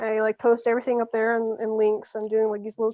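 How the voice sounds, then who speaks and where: Recorded dry and close with no echo against a quiet background, a woman speaks at a fairly high pitch. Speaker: artist. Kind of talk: casual chat. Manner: halting.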